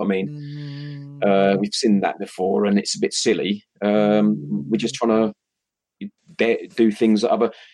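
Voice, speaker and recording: With a British accent, this man speaks in a dark, mellow tone. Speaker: livestream show co-host. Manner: casual, chatty.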